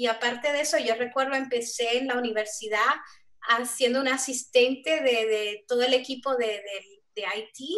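A woman speaks at a high pitch and a moderate pace, her intonation fairly even. The background is quiet. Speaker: software developer; panelist. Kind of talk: panel discussion. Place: home room. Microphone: video call.

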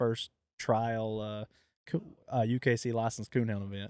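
A man's plain, everyday voice at medium pitch and moderate pace, with a dry, close sound and no echo. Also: very clean recording, silent background. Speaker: podcast host and coonhound program manager. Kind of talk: casual interview.

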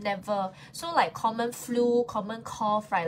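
A woman's animated, somewhat breathy voice, fairly high in pitch, with lively intonation over light background noise. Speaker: live-stream seller. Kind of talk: live-stream sales pitch. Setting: live stream with chat comments. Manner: animated, chatty, switching between Mandarin and English. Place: home room. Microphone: phone near.

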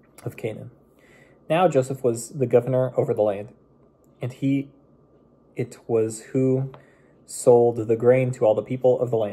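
A man's dark, mellow voice, somewhat breathy, at a moderate pace. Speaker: bible reader. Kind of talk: scripture reading aloud. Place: home room. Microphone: phone near.

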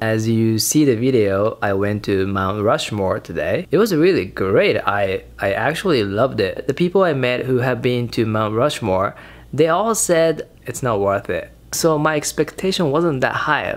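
A man's voice at a moderate pace, full of very wide pitch swings. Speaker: solo road trip vlogger. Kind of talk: casual vlog chat. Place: home room. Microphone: phone near.

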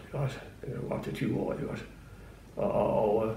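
The pace is fairly slow. Audible room echo is present. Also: man. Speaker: retired prison guard telling his story. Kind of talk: interview answer, recalling memories. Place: home room.

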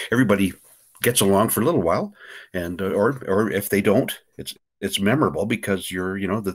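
A man races along at a very fast pace, his intonation lively. All is quiet behind him. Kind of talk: casual interview answer. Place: home room. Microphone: webcam.

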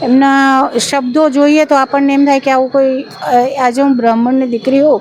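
A woman speaks at a high pitch against noticeable background noise. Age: 50s. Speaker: harassment victim. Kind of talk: testimony. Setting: outside city court.

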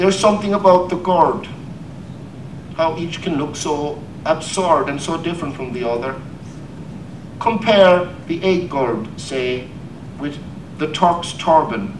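Speaking in a Cork accent, a man uses a high pitch with ordinary pitch variation at a fairly slow pace. Long, frequent pauses break up his speech, and noticeable background noise is present. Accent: Irish, Cork. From Ireland. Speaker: poet. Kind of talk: poetry reading.

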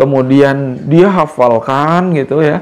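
A man's voice with ordinary pitch variation. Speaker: preacher giving tips. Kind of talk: tutorial talk to camera. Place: office.

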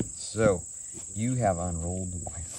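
A man talks with ordinary pitch variation, noticeable noise audible behind the speech. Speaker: instructor showing children. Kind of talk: tutorial to a child. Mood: patient, encouraging. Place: open country.

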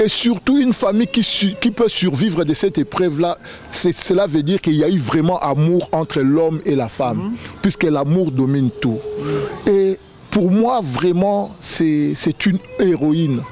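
A man's high-pitched voice at very even loudness, dry with no echo, over light background noise. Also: fairly slow pace. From Kinshasa, DR Congo. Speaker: relative of the founder; guest. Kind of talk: tribute speech. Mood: admiring, emotional tribute. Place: garden. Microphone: handheld.

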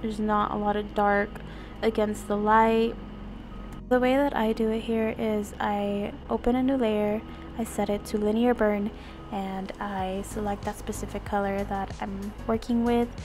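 A woman speaks at a fairly slow pace in a monotone, flat intonation. Music plays in the background. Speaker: digital artist. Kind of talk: art tutorial voice-over. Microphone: studio mic.

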